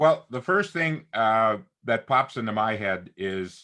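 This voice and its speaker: Lively intonation marks this man's speech at a medium pitch. His tone is bright and sharp. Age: 60s. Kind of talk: casual chat.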